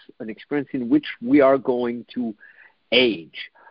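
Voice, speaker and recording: With a European accent, a man speaks at a fairly slow pace using ordinary pitch variation. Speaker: dating coach and podcast host. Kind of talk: solo podcast monologue.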